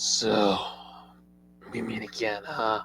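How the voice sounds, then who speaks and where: In a raspy put-on character voice, a man speaks at a medium pitch. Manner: menacing, dramatic.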